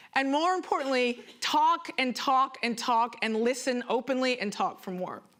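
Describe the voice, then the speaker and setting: Against noticeable background noise, a woman with a high pitch talks at a moderate pace with hardly any pauses, her intonation lively and her tone animated. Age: 30s. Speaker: performance artist. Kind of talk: conference talk.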